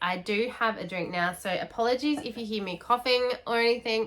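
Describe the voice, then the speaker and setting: Her tone bright and sharp, a woman speaks at a moderate pace with fairly high pitch. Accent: Australian. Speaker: book youtuber. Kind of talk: casual vlog chat.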